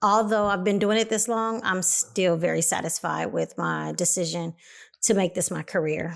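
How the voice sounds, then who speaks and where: The recording is very clean, with a silent background. A woman with an American accent talks at a moderate pace. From Los Angeles, California (Compton). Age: 40s. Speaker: hairstylist and salon owner. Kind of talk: podcast interview.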